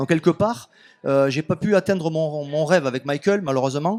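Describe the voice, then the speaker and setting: A man talks with a southern French accent and a high pitch, varying it in an ordinary way. The sound is dry and close, with no echo. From southern France, Béziers area. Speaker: author and music label owner. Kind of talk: radio interview. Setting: radio studio at festival.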